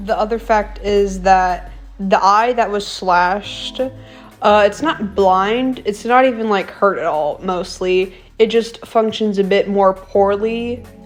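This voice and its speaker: With music in the background, a woman talks with fairly even intonation. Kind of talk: commentary video narration. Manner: casual.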